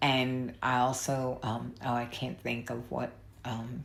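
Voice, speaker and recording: A woman with a New York accent and a very deep, low pitch. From New York City. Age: 60s. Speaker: YouTuber. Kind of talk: casual vlog rant. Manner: halting.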